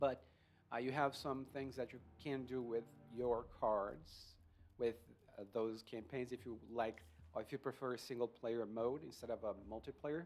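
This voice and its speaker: A man with a non-native accent and fairly even intonation at a moderate pace, with music in the background. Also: medium pitch for a man. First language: not English. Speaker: video game reviewer. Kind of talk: casual gameplay review. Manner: hesitant with fillers.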